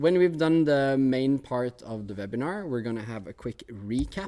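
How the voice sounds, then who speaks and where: A dark, mellow tone in a Norwegian accent, with ordinary pitch variation and a moderate pace. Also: man. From Norway. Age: 20s. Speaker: technology teacher. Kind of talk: webinar presentation. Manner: hesitant, many fillers.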